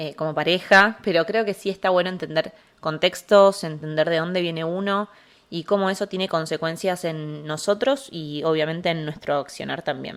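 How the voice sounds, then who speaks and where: The woman's pitch is fairly low and varies in an ordinary way. She talks at a moderate pace. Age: 20s. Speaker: psychologist, podcast host. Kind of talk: casual podcast monologue. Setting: alone at home in the living room. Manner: hesitant, with filler sounds.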